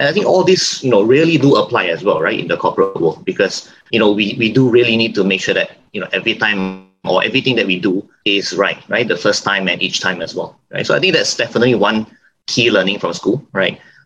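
With music in the background, a man talks at a very fast pace with hardly any pauses. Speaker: bank manager. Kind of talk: panel discussion. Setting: video call webinar.

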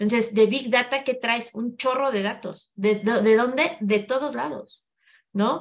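A woman with an ordinary speaking voice, fairly high in pitch with ordinary variation, at a fairly slow pace. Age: 40s. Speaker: human resources specialist. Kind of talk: interview conversation.

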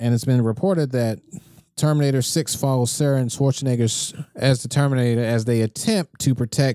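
Here a man talks at a moderate pace and medium pitch in a dark, mellow tone. The recording is very clean, with a silent background. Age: 20s. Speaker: podcast host. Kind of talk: casual chat; news reading.

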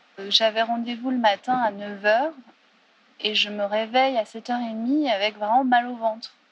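Noticeable background noise sits behind a woman speaking. Her fairly high voice moves at a fairly slow pace with fairly even intonation. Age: 30s. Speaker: theatre director. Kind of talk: testimony.

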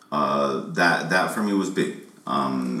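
A man is heard through noticeable background noise and audible room echo. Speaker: rapper. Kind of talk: casual chat.

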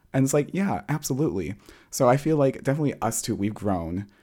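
This man has a dark, mellow tone and lively intonation. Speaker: podcast host. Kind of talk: casual chat.

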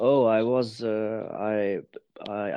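With a German accent, a man speaks in a fairly low voice. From Germany. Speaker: embodiment teacher. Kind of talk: casual interview chat. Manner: halting, searching for words.

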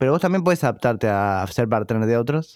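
A man speaks with a Rioplatense accent. The recording is very clean, with a silent background. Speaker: podcast host. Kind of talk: interview.

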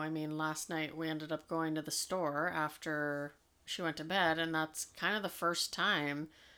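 A woman with a fairly low pitch, a bright, sharp, playful tone, and a moderate pace on a very clean recording with a silent background. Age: 40s. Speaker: podcast co-host and parent. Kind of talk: casual chat. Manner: laughs easily, playful.

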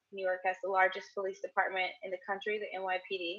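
Music plays in the background as a woman speaks at a medium pitch in a flat, monotone way. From St. Louis. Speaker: police reform advocate. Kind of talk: casual chat. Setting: online audio room.

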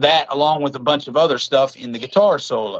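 The speaker talks at a fairly quick pace with an Appalachian accent. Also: man. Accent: Appalachian American. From West Virginia. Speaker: filmmaker and boxing coach. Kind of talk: casual chat.

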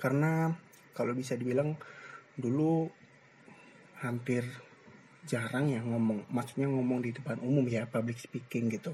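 A man's somewhat breathy, dark and mellow voice at medium pitch, with fairly even intonation, a moderate pace and long, frequent pauses. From East Java, Gresik. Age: 20s. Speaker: university student, podcaster. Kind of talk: solo casual monologue. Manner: hesitant, many fillers.

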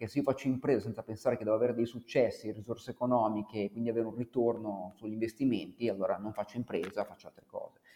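Hardly pausing, a man with a medium pitch and a dark, mellow tone talks with big swings in loudness. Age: 40s. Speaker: author and former musician. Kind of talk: interview.

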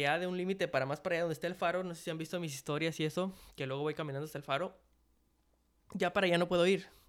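Over a very clean recording with a silent background, the speech runs at a very fast pace with fairly even intonation. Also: man. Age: 20s. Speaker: podcast host. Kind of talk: casual monologue. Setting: hotel dining room, open space. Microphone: possible echo, no pop filter.

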